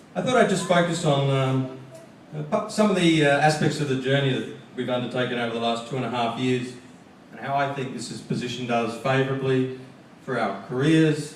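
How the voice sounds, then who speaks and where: In an Australian accent, a man at medium pitch talks at a fairly quick pace with ordinary pitch variation and audible room echo. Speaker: graduating student speaker. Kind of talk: commencement speech.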